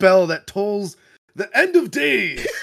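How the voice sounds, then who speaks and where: Speaking at a fairly slow pace, this man has a high pitch. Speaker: podcast host. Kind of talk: casual chat. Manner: jokey, laughs easily.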